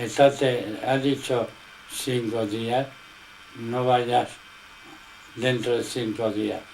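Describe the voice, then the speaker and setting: Over noticeable background noise, a man speaks at a very slow pace with long, frequent pauses. His medium-pitched delivery is monotone and flat. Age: 80s+. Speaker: religious teacher. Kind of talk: informal religious teaching in conversation.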